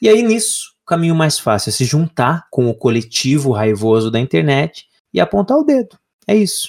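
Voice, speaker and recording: A man talks in a fairly high, somewhat breathy voice with very wide pitch swings at a moderate pace. His loudness stays very even in a very clean recording with a silent background. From Brazil, Paraná (Lapa). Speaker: podcast co-host. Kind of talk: casual chat.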